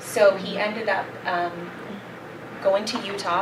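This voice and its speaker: Speaking in a flat monotone with a Maritime Canadian accent, a woman is heard over noticeable background noise and audible room echo. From Nova Scotia, Canada. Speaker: company brand representative. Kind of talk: product presentation.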